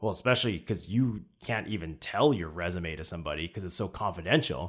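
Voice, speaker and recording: Over a silent background in a very clean recording, a man with a very deep, low pitch and vocal fry speaks at a fairly quick pace with lively intonation. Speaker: podcast host. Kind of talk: casual interview chat.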